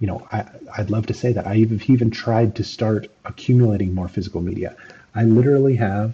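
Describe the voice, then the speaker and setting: This man has a fairly low pitch and a dark, mellow tone. He talks at a moderate pace, somewhat breathy, with fairly even intonation. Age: 30s. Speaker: gaming commentator. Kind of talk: video commentary monologue. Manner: halting, many fillers. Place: home room.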